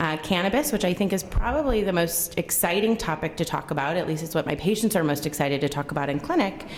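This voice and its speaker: Very fast and lively in intonation, a woman speaks at medium pitch amid noticeable background noise and audible room echo. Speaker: gastroenterologist. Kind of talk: lecture. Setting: conference room with audience. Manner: loud.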